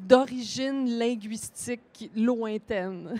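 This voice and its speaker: A woman speaks at a fairly high pitch with ordinary variation. The recording is very clean, with a silent background. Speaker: author. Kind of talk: panel discussion. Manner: hesitant, many fillers.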